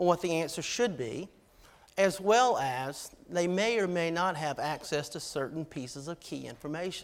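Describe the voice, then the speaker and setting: Speaking at a moderate pace with a Georgia accent, a man has a high pitch and ordinary pitch variation. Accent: Georgia Southern. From US South, Georgia. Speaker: army officer, keynote speaker. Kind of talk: keynote speech.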